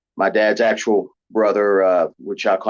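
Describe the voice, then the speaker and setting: A man with a West Virginia accent against a quiet background. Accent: Southern drawl, West Virginia. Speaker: professional wrestler and actor. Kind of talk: interview. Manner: halting, many fillers.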